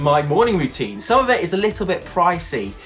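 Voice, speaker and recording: This man's voice sits high in pitch. It rises and falls across a very wide range. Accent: British. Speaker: TV presenter. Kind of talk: casual talk to camera.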